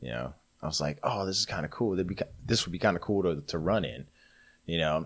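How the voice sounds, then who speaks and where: With vocal fry and ordinary pitch variation, the voice moves at a fairly quick pace broken by long, frequent pauses. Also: man, very deep, low pitch for a man. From US South, Atlanta. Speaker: ultramarathon runner and Marine veteran. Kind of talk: casual chat.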